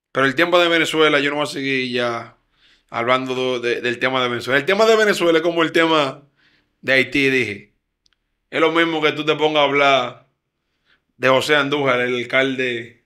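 Over a quiet background, a man with a bright, sharp tone and a fairly high pitch speaks at a moderate pace, with ordinary pitch variation and long, frequent pauses. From Dominican Republic, Santo Domingo Este; Dominican Republic. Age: young. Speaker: radio show host. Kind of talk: political commentary. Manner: animated. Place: studio. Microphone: studio mic.

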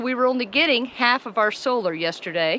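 Against light background noise, a woman talks at a fairly quick pace with lively intonation, and the sound is dry with no echo. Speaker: RV travel vlogger. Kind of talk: casual vlog chat. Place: forest. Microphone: phone near.

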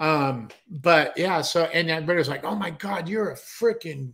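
A man speaks with lively intonation against a quiet background. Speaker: show host or co-host. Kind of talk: casual talk show banter. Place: home room.

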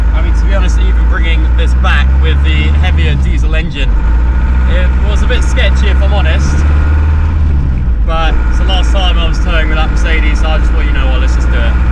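The man's voice sounds dry with no echo, over loud background noise. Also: fairly quick pace. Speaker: car vlogger. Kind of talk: casual vlog chat. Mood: relaxed, cheerful. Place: car. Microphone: camera far.

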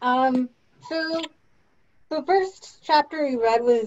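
A woman's voice, high in pitch. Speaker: theme park employee. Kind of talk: casual book discussion. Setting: video call. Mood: relaxed, opinionated. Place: home room. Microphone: video call.

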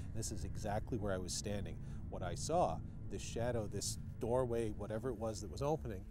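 Over loud background noise, a man talks at a very fast pace. The sound is dry, with no echo. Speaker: paranormal show host. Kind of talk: on-location recounting to camera. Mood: earnest, slightly unnerved. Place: open country. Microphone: lapel.

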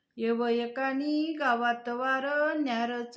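The speaker is a woman with a high pitch. Her intonation is fairly even. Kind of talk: poetry reading.

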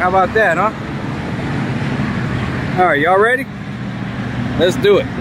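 The voice moves at a fairly quick pace, with a dry sound with no echo against loud background noise. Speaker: home tour vlogger. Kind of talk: casual vlog chat. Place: street. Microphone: phone near.

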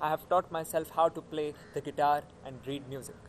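A man talks at a moderate pace. Light background noise sits behind him. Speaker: actor performing a monologue. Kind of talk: acted monologue, college admission speech. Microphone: phone near.

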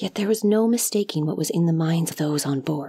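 A woman with an unremarkable speaking voice talks at a moderate pace, her fairly low pitch showing ordinary variation. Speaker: audiobook narrator. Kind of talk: dramatic narration of a fantasy short story, reading aloud. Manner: measured, hushed and lyrical, with a somber, wistful tone.

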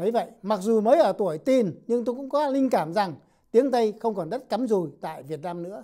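A high-pitched man with a dark, mellow tone and lively intonation, fairly quick in pace, over a quiet background. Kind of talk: scripted narration. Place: studio. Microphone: lapel.

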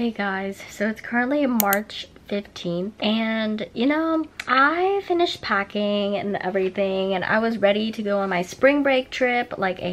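A woman speaks at a fairly slow pace with lively intonation. Light background noise sits behind her. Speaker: college student vlogger. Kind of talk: casual vlog chat. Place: home room. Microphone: phone near.

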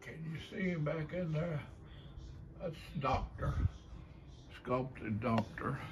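In an Appalachian accent, a man talks at a very slow pace with long, frequent pauses, fairly high pitch and ordinary pitch variation. Noticeable background noise sits behind him. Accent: Appalachian Kentucky. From Kentucky. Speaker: folk artist, painter and sculptor. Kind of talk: casual talk to camera, gallery tour. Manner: slow, hesitant. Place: home room. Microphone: phone near.

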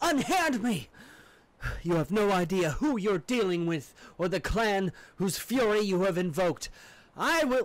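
A man talks in a put-on character voice pitched high for a man. His pauses are long and frequent. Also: moderate pace. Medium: actual play. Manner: defiant, imperious, furious.

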